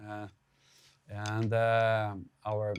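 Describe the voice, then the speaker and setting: A man speaks with a Portuguese accent in a very clean recording with a silent background. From Brazil. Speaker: drummer and drum educator. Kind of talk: drum clinic talk. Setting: live clinic with audience. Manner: halting, many repetitions and fillers.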